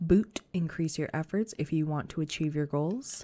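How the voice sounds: Her low voice has a dark, mellow tone, moving at a moderate pace with ordinary pitch variation.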